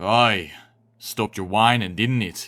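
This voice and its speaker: In a very clean recording with a silent background, a man does a put-on character voice that is rumbling and raspy, drawling at a fairly slow pace with fairly low pitch. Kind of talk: gruff rural dialect ("aye", "ya"). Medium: read story. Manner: slow drawl, terse.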